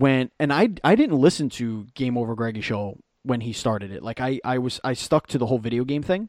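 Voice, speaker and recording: A New York accent in a dry, close recording with no echo, very clean with a silent background. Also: man. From Brooklyn, New York. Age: 30s. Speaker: actor and podcaster. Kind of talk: casual chat.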